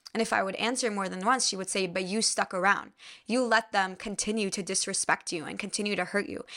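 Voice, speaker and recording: A woman talks at a very fast pace in a bright, sharp tone. Her pitch is medium and her intonation fairly even. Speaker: spiritual podcast host and yoga teacher. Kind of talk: casual solo monologue. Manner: casual, filler-heavy.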